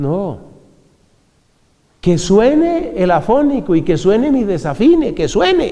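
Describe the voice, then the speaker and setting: Speaking at a very slow pace, a man uses a high pitch with very wide swings. The room echo is audible. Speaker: friar and preacher. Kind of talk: religious talk.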